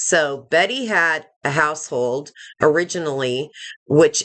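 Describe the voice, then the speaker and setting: With the background quiet, this woman talks with ordinary pitch variation. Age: 60s. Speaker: YouTube commentator. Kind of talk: live stream commentary. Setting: live stream. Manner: conversational, with frequent fillers.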